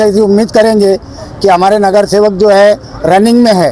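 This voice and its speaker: Over noticeable background noise, a man with a high pitch speaks in a fairly even intonation. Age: 60s. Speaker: local supporter at political rally. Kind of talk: street interview.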